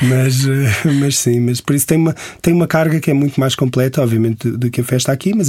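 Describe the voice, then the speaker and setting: A man's medium-pitched, dark, mellow and somewhat breathy voice, fairly quick and fairly even in intonation, on a very clean recording with a silent background. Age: 40s. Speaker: travel writer. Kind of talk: interview.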